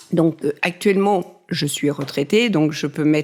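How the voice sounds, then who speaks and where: A woman's very deep, low voice with a dark, mellow tone, ordinary pitch variation and a very slow pace, on a very clean recording with a silent background. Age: 60s. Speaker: retired amateur pastry baker. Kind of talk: interview testimony. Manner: hesitant.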